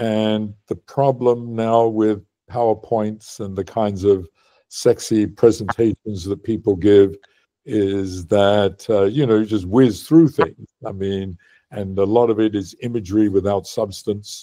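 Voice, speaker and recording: A man talks at a fairly slow pace in a dark, mellow tone. His intonation stays fairly even against a quiet background. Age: 80s+. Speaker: physicist. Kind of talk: interview. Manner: halting, many fillers.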